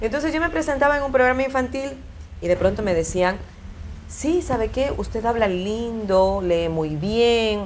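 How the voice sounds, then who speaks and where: Amid audible room echo, a woman speaks at a fairly slow pace, her fairly high voice making very wide pitch swings. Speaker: broadcaster. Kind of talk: interview.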